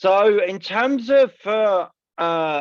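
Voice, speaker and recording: Against a quiet background, a man with a southern English accent speaks at a high pitch with lively intonation. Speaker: assistive technology trainer. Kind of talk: presentation.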